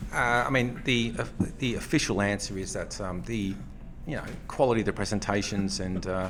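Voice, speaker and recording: A man's fairly low voice with an Australian accent, ordinary pitch variation and a fairly quick pace, plus audible room echo. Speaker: economics professor. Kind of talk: casual chat. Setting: hotel breakfast area.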